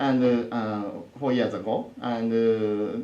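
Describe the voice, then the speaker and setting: A man speaks at a very slow pace. Noticeable background noise and audible room echo surround him. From Japan, Osaka. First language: Japanese. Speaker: professor. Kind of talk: lecture. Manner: halting, many fillers.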